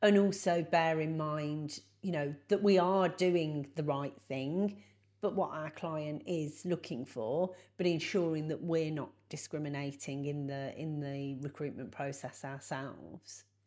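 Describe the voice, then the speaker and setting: Very deep and low, a woman's voice moves at a fairly slow pace with ordinary pitch variation. The recording is very clean, with a silent background. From Coventry, English Midlands. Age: 40s. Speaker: recruitment consultant and trainer. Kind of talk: casual interview chat. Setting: in a pub, in person.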